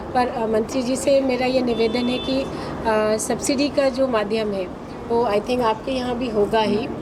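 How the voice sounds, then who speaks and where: A woman's high-pitched, monotone, flat delivery with hardly any pauses, audible room echo, and noticeable background noise. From Ballia, eastern Uttar Pradesh, India. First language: Bhojpuri (speaking Hindi). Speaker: film producer. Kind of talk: media interview at event. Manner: hesitant, many fillers.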